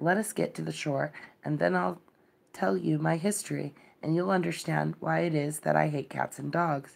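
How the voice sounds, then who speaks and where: A put-on character voice, shaky and low-to-middle in pitch, at a moderate pace. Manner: passionate, upset.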